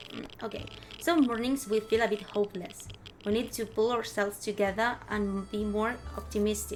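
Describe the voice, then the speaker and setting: Over music in the background, a woman with a non-native accent speaks at a fairly high pitch and moderate pace with fairly even intonation. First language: Spanish. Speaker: vtuber streamer. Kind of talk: gameplay commentary with reading game text aloud. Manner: halting.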